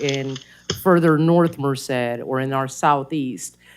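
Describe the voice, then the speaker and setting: A woman's fairly even intonation comes through at a fairly slow pace. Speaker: citizen advisory group member. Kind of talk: public meeting discussion. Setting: council chamber meeting. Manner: loud.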